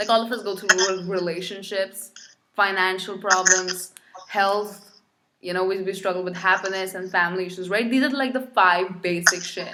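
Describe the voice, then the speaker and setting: A woman with a medium pitch keeps her intonation fairly even and her pace moderate. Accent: non-native. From India. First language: not English. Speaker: podcast host. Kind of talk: casual interview chat.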